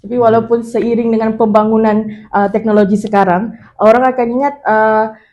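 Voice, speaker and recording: A woman's fairly high voice, dark and mellow in tone, flat and monotone, at a fairly quick pace. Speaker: university student leader. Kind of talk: panel discussion.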